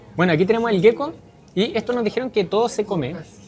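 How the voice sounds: Speaking fast, a man has a slightly mellow tone.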